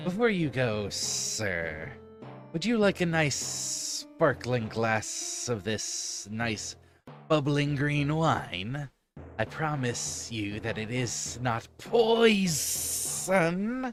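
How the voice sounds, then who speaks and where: Over clear music in the background, a man uses a put-on character voice with a fairly high pitch and a very slow pace. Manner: sarcastic.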